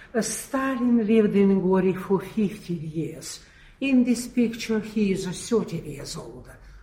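Noticeable background noise accompanies a woman who speaks very slowly with lively intonation. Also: medium pitch for a woman. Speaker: museum tour guide. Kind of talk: guided tour. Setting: museum.

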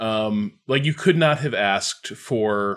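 Here is a man with an American accent and a medium pitch. His intonation is lively, on a very clean recording with a silent background. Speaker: games critic. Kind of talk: casual chat.

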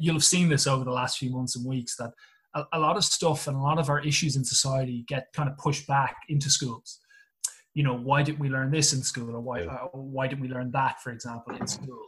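A man with an Irish accent, fairly high in pitch and fairly quick in pace. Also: fairly even intonation. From Ireland. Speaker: English teacher and rugby coach. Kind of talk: casual chat. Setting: video call.

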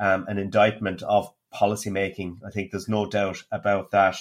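A man speaks with a fairly low pitch. His intonation is monotone and flat. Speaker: economist podcast co-host. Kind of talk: casual economics discussion. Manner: frequent hesitations (um, uh).

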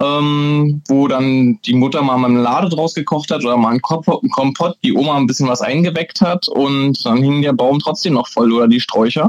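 A man talks at a moderate pace in a Brandenburg accent. His pitch is fairly high, with ordinary variation. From Brandenburg, Germany. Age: young. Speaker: master distiller. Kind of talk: interview.

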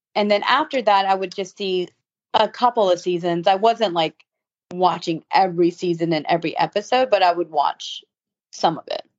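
A woman's plain, everyday voice, medium in pitch, with an American accent and a moderate pace. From US South (Savannah, Georgia). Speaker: fashion blogger and reality TV cast member. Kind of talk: casual interview.

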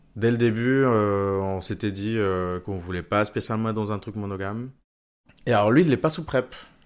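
A man talks with ordinary pitch variation in a very clean recording over a silent background. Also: fairly low pitch for a man, moderate pace. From Venezuela. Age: 30s. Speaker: engineer sharing personal testimony. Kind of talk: testimony. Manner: halting, many fillers and repetitions.

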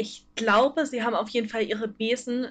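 A woman's fairly high voice holds fairly even intonation at a moderate speed. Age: 20s. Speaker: fanfiction writer. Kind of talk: casual chat. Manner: hesitant, many fillers. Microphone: poor audio quality.

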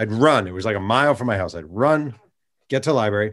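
Against a quiet background, a man with an American accent talks very fast in a fairly low pitch. His tone is animated, with lively intonation. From New York State, Hudson Valley. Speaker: sportswriter and author. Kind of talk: interview.

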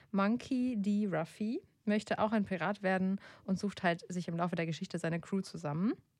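A woman with a plain, everyday voice speaks at medium pitch and a moderate pace, with ordinary pitch variation, on a very clean recording with a silent background. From Germany, grew up in a village. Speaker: podcast host, editor. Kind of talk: casual chat; reading aloud. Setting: studio.

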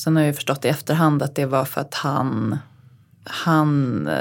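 Her pitch is very deep and low. The woman's intonation remains fairly even. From Uppsala, Sweden. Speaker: podcast co-host, design writer. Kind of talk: casual chat.

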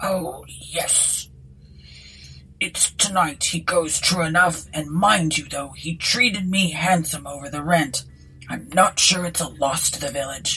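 A woman puts on a gruff character voice at a fairly low pitch, speaking fairly slowly with ordinary pitch variation over light background noise. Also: big swings in loudness. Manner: gruff, touchy.

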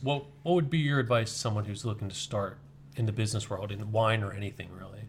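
Speaking at a very fast pace, a man uses a medium-pitched, somewhat breathy voice. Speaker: podcast host. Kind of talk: interview.

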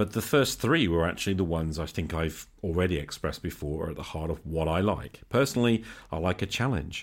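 In a British accent, a man talks at a fairly quick pace with hardly any pauses. His very deep, low voice carries lively intonation. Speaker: podcast host. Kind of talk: solo podcast monologue with call-ins and reading. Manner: casual, unscripted.

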